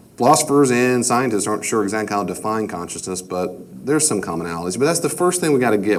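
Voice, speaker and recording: A man with an American accent talks at a very fast pace with very wide pitch swings. Noticeable background noise and audible room echo fill the recording. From New York. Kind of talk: lecture. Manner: conversational, repetitive.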